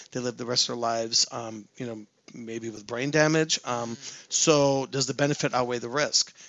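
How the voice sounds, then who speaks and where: Using fairly even intonation, a man speaks at a moderate pace and medium pitch. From US West Coast, San Francisco. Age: 40s. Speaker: career interview guest. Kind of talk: casual interview.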